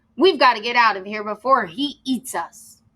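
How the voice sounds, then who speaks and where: A woman puts on a character voice. Her pitch sits fairly high. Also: moderate pace. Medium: read story.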